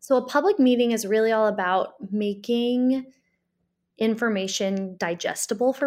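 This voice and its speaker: In a very clean recording over a silent background, a woman with an American accent and a fairly high pitch speaks at a moderate pace in a plain, everyday voice. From US Midwest, Springfield, Illinois. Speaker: community organizer. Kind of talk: interview conversation.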